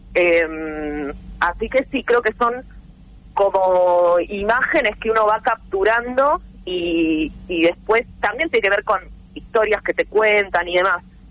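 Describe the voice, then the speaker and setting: A woman speaks at a very slow pace with very even loudness. Her medium-pitched voice carries lively intonation. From Argentina, southeast Buenos Aires province (rural). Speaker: writer and journalist. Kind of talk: interview.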